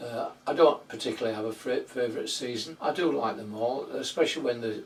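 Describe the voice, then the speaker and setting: A man with a Yorkshire accent over noticeable background noise. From Yorkshire, northern England. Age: 80s+. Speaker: allotment vlogger. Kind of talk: casual monologue answering tag questions. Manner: hesitant, repeats words.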